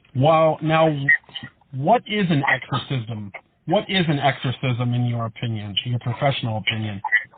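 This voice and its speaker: He has an ordinary speaking voice, a man at a medium pitch. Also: lively intonation, moderate pace. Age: 30s. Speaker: podcast host. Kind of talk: interview. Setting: podcast interview.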